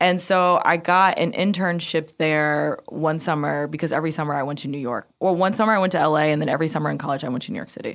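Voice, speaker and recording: A woman at a very deep, low pitch, talking at a very fast pace with hardly any pauses, in a very clean recording with a silent background. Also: ordinary pitch variation. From United States. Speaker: music marketing executive. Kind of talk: interview. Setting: studio.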